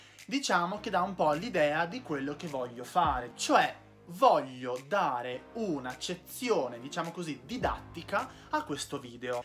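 An upbeat man speaks fairly slowly in a fairly high voice with very wide pitch swings. Faint music sits in the background. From Veneto, Italy. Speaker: video creator. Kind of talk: casual talk to camera. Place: home room. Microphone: phone near.

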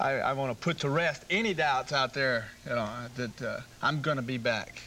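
A man's voice, with ordinary pitch variation and a moderate pace, comes through over music in the background. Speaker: guest. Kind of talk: interview answer. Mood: relaxed, slightly reflective. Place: studio. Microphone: lapel.

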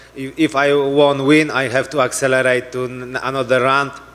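A man speaks in a Polish accent at a fairly slow pace. His intonation is monotone and flat. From Poland. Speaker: mixed martial arts fighter. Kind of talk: post-fight press conference answers. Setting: press conference. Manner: halting, broken English. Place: hall. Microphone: handheld.

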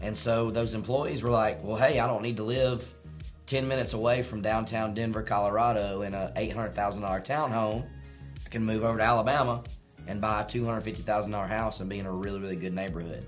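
Faint music plays in the background. A man speaks at a fairly quick pace in a fairly low pitch with fairly even intonation. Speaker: presenter. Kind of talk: casual discussion commentary. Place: home room.

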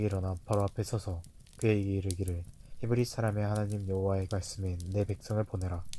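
On a very clean recording with a silent background, a man speaks at a very fast pace in a fairly low pitch, his tone dark and mellow and his intonation monotone and flat. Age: 20s. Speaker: scripture narrator. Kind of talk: reading aloud. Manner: measured.

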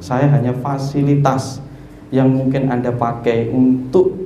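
A man with a Javanese accent is heard with audible room echo and light background noise. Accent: Javanese-accented Indonesian. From East Java, Indonesia. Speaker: spiritual teacher. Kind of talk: teaching talk to a seated group. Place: hall. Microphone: handheld.

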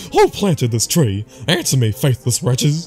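With clear music in the background, a man does a put-on character voice at a medium pitch and a moderate pace. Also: lively intonation. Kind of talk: archaic, fiery. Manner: angry, accusatory.

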